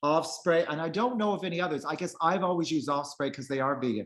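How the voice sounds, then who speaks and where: A man's unremarkable speaking voice, pitched fairly high, its pitch varying in an ordinary way. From Prince Edward Island, eastern Canada. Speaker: vegan travel author. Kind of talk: casual interview chat.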